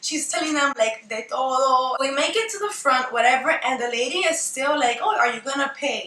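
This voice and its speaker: Over noticeable background noise, a woman speaks in a raised, projected voice. Her pitch is high and her intonation lively. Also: moderate pace, hardly any pauses. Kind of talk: storytime talk to camera. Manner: casual, animated, profane.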